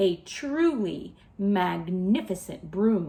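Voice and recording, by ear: The speaker is reading aloud in a natural voice, pitch leaping up and down with animation.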